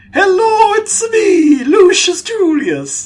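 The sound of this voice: Very slowly, someone performs a put-on character voice at an extremely high pitch.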